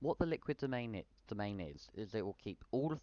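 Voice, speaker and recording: His intonation is lively. The man's pitch sits in the medium range. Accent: British. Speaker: software tutorial youtuber. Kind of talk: tutorial. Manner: fast; self-correcting stumbles.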